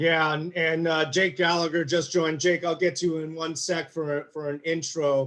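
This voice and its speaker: The speech moves at a moderate pace in a monotone, flat intonation, with hardly any pauses. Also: man, fairly high pitch for a man. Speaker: panel moderator. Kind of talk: panel discussion.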